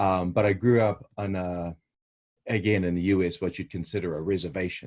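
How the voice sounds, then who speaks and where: At a moderate pace, a man with a New Zealand accent speaks in a very deep, low voice, recorded very cleanly over a silent background. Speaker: researcher. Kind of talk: interview. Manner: hesitant, many fillers.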